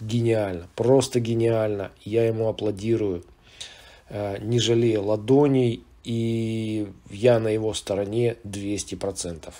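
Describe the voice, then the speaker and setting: Very slow speech from a man at medium pitch, monotone and flat, dark and mellow in tone, with long, frequent pauses. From Soviet Union. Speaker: video blogger. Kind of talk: monologue commentary. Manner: hesitant, with filler sounds.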